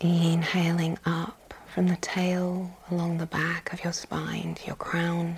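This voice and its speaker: A soothing, calm tone at a very slow pace, hardly any pauses, over noticeable background noise. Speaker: meditation guide. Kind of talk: guided meditation. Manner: slow, soothing, calm; gentle, unhurried with long pauses.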